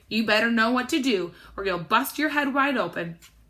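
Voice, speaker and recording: In a put-on, gravelly character voice, a woman speaks at a fairly quick pace and a fairly high pitch, with lively intonation. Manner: blunt, warning.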